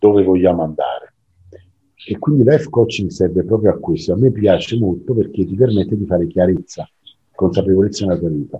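A man speaks fairly quickly with lively intonation and a somewhat breathy sound. His pauses are long and frequent. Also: fairly low pitch for a man. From southern Italy, Naples. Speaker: coach. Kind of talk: interview conversation.

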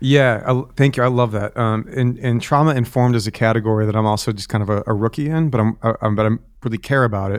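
A man speaks at a very fast pace. He leaves hardly any pauses. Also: medium pitch for a man, fairly even intonation. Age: 30s. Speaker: pastor. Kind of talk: interview conversation. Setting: remote call from home.

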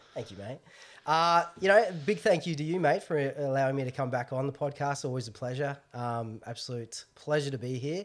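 A man in an Australian accent, fairly high in pitch with ordinary variation, at a fairly quick pace on a very clean recording with a silent background. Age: 30s. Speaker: podcast guest, film fan. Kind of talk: casual chat.

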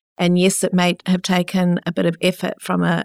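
A woman with a New Zealand accent talks at a moderate pace in a dry, close sound with no echo, on a very clean recording with a silent background. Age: 50s. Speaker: entrepreneur and researcher. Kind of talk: interview.

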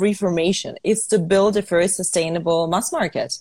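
A woman speaks in a somewhat breathy voice. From Ukraine. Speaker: fashion entrepreneur. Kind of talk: interview.

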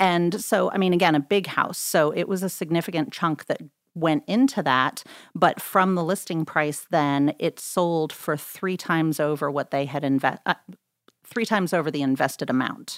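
This woman has an unremarkable speaking voice, fairly low in pitch. She talks at a moderate pace with ordinary pitch variation. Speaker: real estate agent. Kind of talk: casual interview. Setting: studio.

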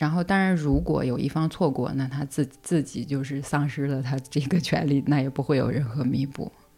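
A woman's very deep, low voice with a dark, mellow tone, moderate pace and hardly any pauses. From China. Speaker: single mother sharing her story. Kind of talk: personal story in casual interview.

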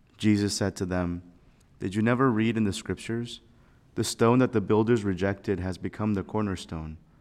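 A man's plain, everyday voice, a plain, everyday voice, fairly low in pitch and fairly quick, with ordinary pitch variation and a very clean recording over a silent background. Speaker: priest giving homily. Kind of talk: homily. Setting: chapel. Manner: fervent, earnest, pausing.

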